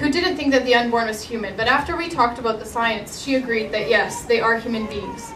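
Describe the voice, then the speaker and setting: A woman with a Canadian accent talks at a fairly quick pace with lively intonation, amid audible room echo and noticeable background noise. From Alberta, Canada (Edmonton). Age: 20s. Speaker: pro-life activist. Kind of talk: testimony.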